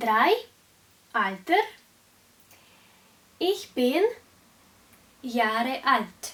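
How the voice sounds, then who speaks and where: A woman with a Russian accent and a high pitch talks at a very slow pace, with very wide pitch swings and long, frequent pauses. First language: Russian (speaking German). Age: 20s. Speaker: German teacher. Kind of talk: language lesson tutorial. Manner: slow, clear.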